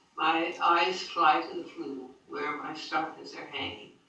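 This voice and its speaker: Noticeable background noise runs through the recording. A woman's speech unfolds at a fairly slow pace. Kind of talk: diary reading.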